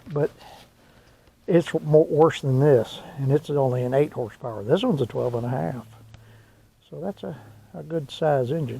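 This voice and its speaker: A man with an American accent and a fairly high pitch speaks at a moderate pace in a dark, mellow, somewhat breathy tone, with ordinary pitch variation, big swings in loudness and long, frequent pauses. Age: 60s. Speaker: mechanic hobbyist vlogger. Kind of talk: working commentary. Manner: casual, thinking aloud.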